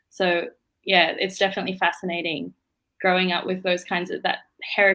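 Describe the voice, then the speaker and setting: A woman with an Australian accent speaks at a medium pitch and a fairly quick pace in a monotone, flat intonation. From Australia (Melbourne), Indian-born. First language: Bengali. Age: young. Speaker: law student. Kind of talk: interview. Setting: live stream.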